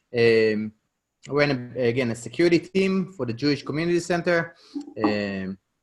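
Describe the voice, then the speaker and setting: A man with an Israeli accent talks at a medium pitch with lively intonation. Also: moderate pace. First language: Hebrew. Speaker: real estate investor. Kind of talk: podcast interview.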